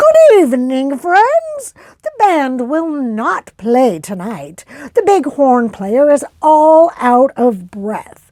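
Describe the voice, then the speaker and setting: A woman's put-on character voice, high-pitched and very slow, with very wide pitch swings. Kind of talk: public announcement. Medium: read story.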